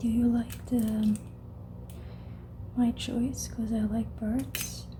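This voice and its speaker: The speaker is soft-spoken and talks at a very slow pace. Noticeable background noise runs behind the voice. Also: woman. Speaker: ASMR creator. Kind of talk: ASMR whisper-style talk to camera.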